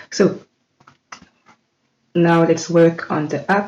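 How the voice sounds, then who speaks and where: Speaking very slowly with a non-native accent, a woman uses a fairly low pitch. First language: not English. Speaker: tech tutorial creator. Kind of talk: tutorial. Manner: halting, many fillers.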